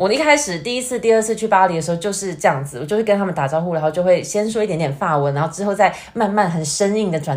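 With a Taiwanese accent, a woman speaks at a very fast pace, her fairly low pitch carrying lively intonation. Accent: Taiwanese Mandarin. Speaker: YouTuber. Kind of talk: casual chat. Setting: remote online call.

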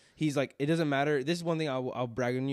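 Very fast speech comes from a man whose pitch varies in an ordinary way. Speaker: podcast host. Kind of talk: casual chat. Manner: animated. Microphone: new microphone setup.

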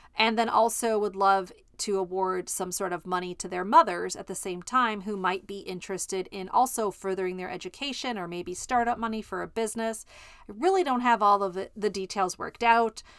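An ordinary speaking voice comes in an American accent at a fairly quick pace. Intonation is fairly even, while loudness swings widely. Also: woman, medium pitch for a woman, very clean recording, silent background. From Chicago. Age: 50s. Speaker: podcast host and life coach. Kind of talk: solo podcast monologue. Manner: casual with frequent fillers.

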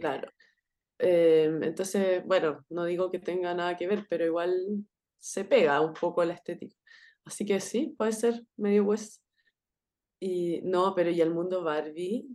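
Against a quiet background, a woman with a Chilean accent speaks at a fairly slow pace in a fairly low pitch, her tone dark and mellow with ordinary pitch variation. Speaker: podcast co-host. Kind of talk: casual chat.

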